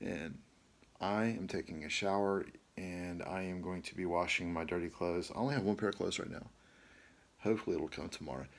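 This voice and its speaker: A man's very deep, low pitch with ordinary pitch variation at a fairly quick pace. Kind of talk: casual vlog chat. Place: home room. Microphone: phone near.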